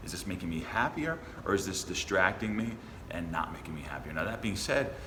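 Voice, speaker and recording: With lively intonation and a fairly quick pace, a man talks in a fairly low pitch amid noticeable background noise and audible room echo. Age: 30s. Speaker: dating coach. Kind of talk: casual conversation.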